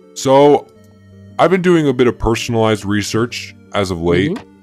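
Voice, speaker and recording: Someone mumbles in a put-on character voice at a moderate pace, with faint music in the background. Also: man. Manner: weary, mumbling, hesitant.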